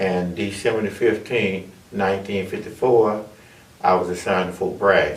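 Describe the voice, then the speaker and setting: Audible room echo surrounds a speaker with an Alabama accent who talks at a moderate pace in a flat, monotone way. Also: man, fairly low pitch for a man. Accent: Southern US (Alabama). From US South, Alabama (Monroeville). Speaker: army veteran and chaplain. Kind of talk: oral history testimony.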